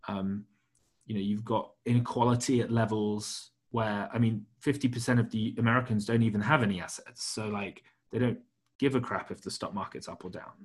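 Over a quiet background, a man with a British accent talks at a moderate pace, with medium pitch and fairly even intonation. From Britain. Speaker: podcast host. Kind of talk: casual interview about markets. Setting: remote call.

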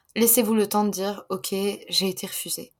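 The recording of this woman is very clean, and the background is silent. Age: 20s. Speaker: author. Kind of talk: casual chat.

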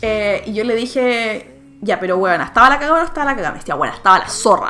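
With a Chilean accent, a woman speaks at a moderate pace and a fairly high pitch, her intonation lively over noticeable background noise. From Chile, Santiago (Maipú). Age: 20s. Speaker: English teacher living abroad. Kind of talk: casual chat.

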